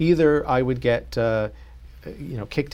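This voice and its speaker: An unremarkable speaking voice from a man at medium pitch and moderate pace, with ordinary pitch variation. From US South, North Carolina. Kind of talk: interview.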